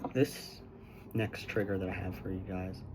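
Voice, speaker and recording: Audible room echo surrounds a man whose very deep, low voice moves at a moderate pace with lively intonation. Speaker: ASMR creator. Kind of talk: ASMR guided visualization. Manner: slightly quieter than normal, not quite soft-spoken.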